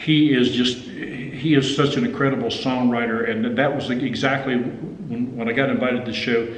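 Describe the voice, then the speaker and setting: A man with an Appalachian accent amid noticeable background noise and audible room echo. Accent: Appalachian US Southern. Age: 60s. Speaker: country guitarist and songwriter. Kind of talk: casual interview chat. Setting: recording studio. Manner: halting, many repeated words.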